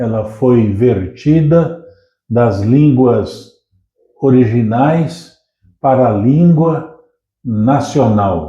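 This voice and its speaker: A man speaks at a very slow pace with a medium pitch and lively intonation, sounding somewhat breathy. Audible room echo surrounds his voice. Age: 70s. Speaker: pastor. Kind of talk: casual chat.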